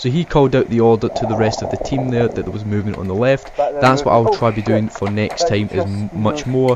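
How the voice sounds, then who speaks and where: Amid noticeable background noise, a man with a Scottish accent talks at a medium pitch with ordinary pitch variation and hardly any pauses. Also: fairly quick pace. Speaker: airsoft player and video narrator. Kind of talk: voiceover commentary.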